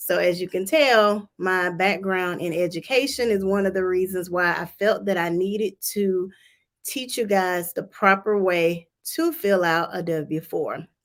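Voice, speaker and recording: In a Southern US accent, a woman speaks at a fairly slow pace with medium pitch and ordinary pitch variation. The recording is very clean, with a silent background. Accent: Southern US (Georgia). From Georgia, US South. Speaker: tax preparer. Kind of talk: livestream tutorial. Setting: livestream from office.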